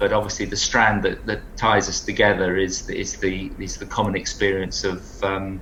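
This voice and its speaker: A man with an English accent speaks at a moderate pace, with audible echo from the room. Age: 60s. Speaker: long-distance runner. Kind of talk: interview.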